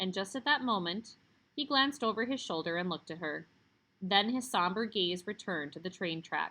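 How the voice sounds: Lively intonation in a natural reading voice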